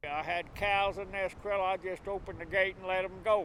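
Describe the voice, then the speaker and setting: Speaking fairly quickly, a man with a US Plains accent uses a high pitch. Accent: rural US Plains. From southwest Kansas. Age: 70s. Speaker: farmer. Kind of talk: interview. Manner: halting.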